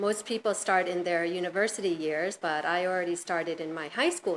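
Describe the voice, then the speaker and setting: A woman in a normal speaking voice talks at medium pitch and a moderate pace. She has an American accent and ordinary pitch variation. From US, New York. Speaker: hotel general manager. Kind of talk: interview.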